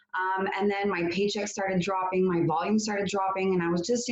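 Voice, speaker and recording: A woman with a slight French Canadian accent talks at a fairly quick pace and medium pitch against noticeable background noise. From Quebec, Canada. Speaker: network marketing entrepreneur. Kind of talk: testimony. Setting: video call.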